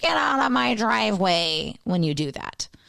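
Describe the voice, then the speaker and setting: A raspy, gruff, growling put-on character voice at a middle pitch and a moderate pace. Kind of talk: blunt, yelling-to-the-yard. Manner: grumpy, gruff, shooing someone off.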